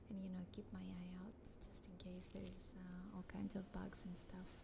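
A woman's moderately paced speech over noticeable background noise. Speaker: ASMR creator. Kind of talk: casual chat. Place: home room. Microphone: studio mic.

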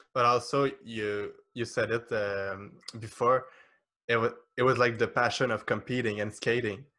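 A man with a French accent speaks at medium pitch in a bright, sharp tone. His intonation is monotone and flat. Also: moderate pace. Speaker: podcast host. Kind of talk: interview conversation. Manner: halting. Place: home room. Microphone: studio mic.

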